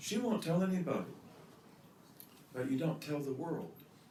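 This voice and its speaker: A man with an American accent speaks with very wide pitch swings, and the room echo is audible. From US Midwest. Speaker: religious teacher. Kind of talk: lecture.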